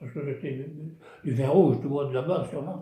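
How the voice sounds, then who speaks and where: The man's voice has a dark, mellow tone and is somewhat breathy. Audible room echo surrounds it. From southwest France (Gironde village). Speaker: retired craftsman, village storyteller. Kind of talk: casual storytelling interview. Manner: halting, repetitive.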